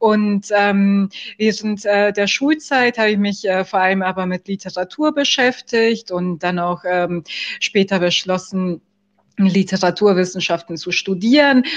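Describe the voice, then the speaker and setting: Against a quiet background, the voice proceeds at a very slow pace with ordinary pitch variation. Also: woman, medium pitch for a woman. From Germany. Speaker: film festival juror. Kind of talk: podcast interview. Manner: hesitant, many fillers.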